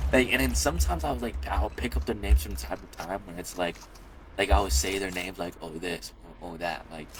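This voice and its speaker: Over noticeable background noise, a man with a very deep, low pitch talks at a very fast pace with lively intonation and big swings in loudness. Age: young. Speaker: gaming youtuber. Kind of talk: casual commentary vlog. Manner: stutters at times; rambling, halting with many fillers.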